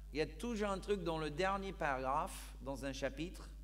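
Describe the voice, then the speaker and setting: Audible room echo surrounds a man's voice. He talks at a fairly slow pace. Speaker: pastor. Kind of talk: sermon. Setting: church.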